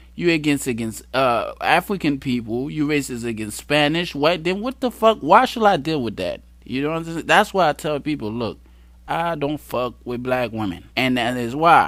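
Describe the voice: At a moderate pace, a man with a fairly high pitch and fairly bright tone speaks with lively intonation.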